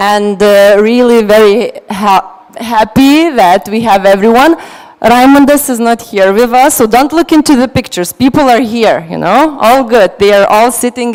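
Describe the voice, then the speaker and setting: A woman talks at a fairly slow pace with a fairly high pitch and ordinary pitch variation. She hardly pauses, and there is noticeable background noise. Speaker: panel moderator. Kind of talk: panel moderation.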